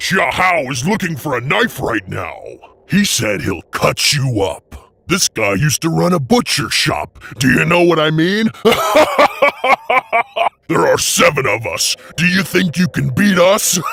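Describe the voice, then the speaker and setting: Shouting in a put-on character voice, a man with a fairly high pitch swings very widely up and down at a moderate pace, leaving long, frequent pauses. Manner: shouting, threatening.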